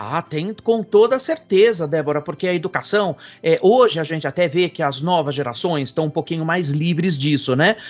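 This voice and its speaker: Using a high pitch with ordinary variation, a man keeps a moderate pace with hardly any pauses. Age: 60s. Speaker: professor and futurist. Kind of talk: interview. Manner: hesitant fillers.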